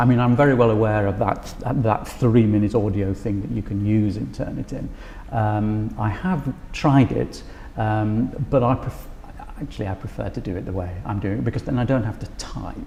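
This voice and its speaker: Moderate-paced speech from a man, noticeable background noise behind it. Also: fairly low pitch for a man, ordinary pitch variation. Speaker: university lecturer. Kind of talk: interview about teaching practice. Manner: halting, many fillers.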